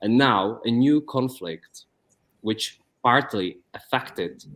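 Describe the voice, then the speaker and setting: In a Czech accent, a man speaks at a medium pitch. His pitch variation is ordinary. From Czech Republic. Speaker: YouTube interviewer. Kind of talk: interview. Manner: halting.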